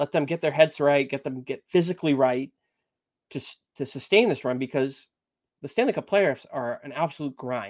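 With an American accent, a normal speaking voice moves at a moderate pace with ordinary pitch variation and big swings in loudness, recorded very clean with a silent background and a dry, close sound with no echo. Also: man, fairly high pitch for a man. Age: 30s. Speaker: amateur hockey goalie. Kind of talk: casual chat.

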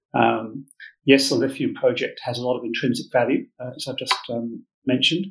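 Fairly quick speech from a man with an English accent and big swings in loudness. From England. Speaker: mining company managing director. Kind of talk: business interview.

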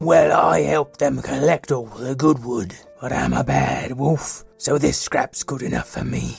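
Over faint background music, a man does a raspy put-on character voice at medium pitch and a fairly slow pace. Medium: actual play. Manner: nervous, apologetic, laughs nervously.

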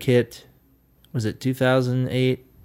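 American-accented speech from a man at medium pitch. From US South, Nashville, Tennessee. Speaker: session and band drummer. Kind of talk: casual interview.

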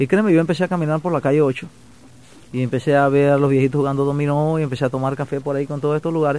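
Here a man talks at a very fast pace in a fairly high pitch. His tone is dark and mellow, and his intonation fairly even. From Panama, Chiriquí province. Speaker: songwriter. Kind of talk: interview. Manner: halting.

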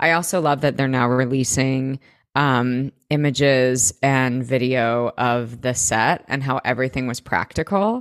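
A very clean recording with a silent background and a dry, close sound with no echo, the speech at a fairly slow pace with very even loudness and ordinary pitch variation. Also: woman, very deep, low pitch for a woman. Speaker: podcast co-host. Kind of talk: casual chat. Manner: animated.

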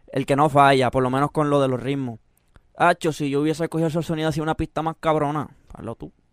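A man with a Puerto Rican accent at a very fast pace, fairly high in pitch, with fairly even intonation and a dry, close sound without echo. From Puerto Rico (Mexican parents). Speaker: urban music artist and producer. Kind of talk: casual interview.

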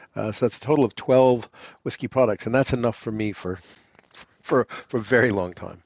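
Fairly quick delivery in an American accent, with ordinary pitch variation and long, frequent pauses. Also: man, medium pitch for a man. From US, New York City (Manhattan). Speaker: distillery founder. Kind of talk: interview.

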